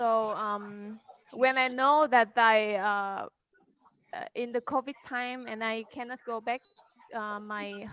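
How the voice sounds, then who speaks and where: A woman with a Vietnamese accent speaks at a very slow pace in a fairly high voice with a bright, sharp tone and fairly even intonation. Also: dry, close sound with no echo. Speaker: model. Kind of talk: online panel discussion. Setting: video call. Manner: halting. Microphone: poor internet connection.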